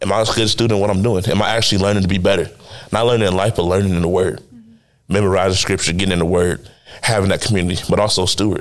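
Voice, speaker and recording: Very fast and at a fairly low pitch, a man speaks in a monotone, flat intonation with very even loudness. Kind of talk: faith testimony.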